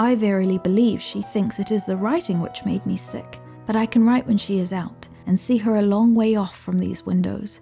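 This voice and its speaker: Music sits in the background. Over it, a woman speaks at a moderate pace. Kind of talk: gothic horror story reading.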